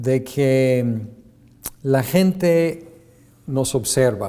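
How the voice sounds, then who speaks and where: In an English accent, a man with a dark, mellow tone talks at medium pitch with ordinary pitch variation, and audible room echo surrounds him. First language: English (speaking Spanish). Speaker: seminary lecturer. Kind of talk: lecture. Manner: halting with many fillers.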